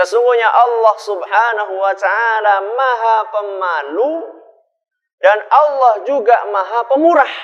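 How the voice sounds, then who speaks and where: A man with a high pitch, fairly slow pace and ordinary pitch variation. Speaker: Islamic preacher, ustadz. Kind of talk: Islamic sermon to a live audience.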